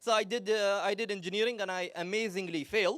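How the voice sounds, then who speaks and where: A loud man in an animated tone. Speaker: psychology speaker. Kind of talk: talk to live audience. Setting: stage with audience.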